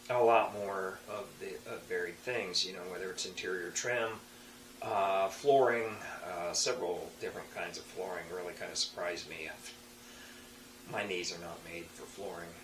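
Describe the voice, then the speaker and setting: A man speaks at a moderate pace in a fairly low voice, his pitch varying in an ordinary way, with audible room echo. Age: 60s. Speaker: tradesman and hobby woodturner. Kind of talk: casual monologue to camera. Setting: home workshop. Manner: halting, many fillers and restarts.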